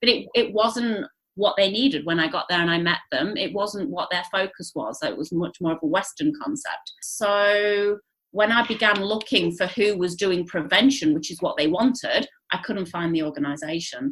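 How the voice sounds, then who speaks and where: With an English accent, a woman at medium pitch speaks with lively intonation at a moderate pace. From England. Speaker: charity founder. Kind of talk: interview conversation. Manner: hesitant fillers.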